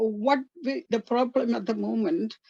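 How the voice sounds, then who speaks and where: Dry and close with no echo, the recording carries a woman's dark, mellow tone. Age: 70s. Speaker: retired health promotion officer, caller. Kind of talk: audience comment in online talk. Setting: video call, camera off, resting in bed.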